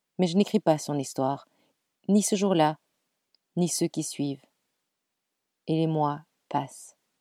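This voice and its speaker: In a dry, close recording with no echo, a woman with a very deep, low voice and a dark, mellow tone speaks at a very slow pace with long, frequent pauses and ordinary pitch variation. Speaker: podcast storyteller. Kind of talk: storytelling narration.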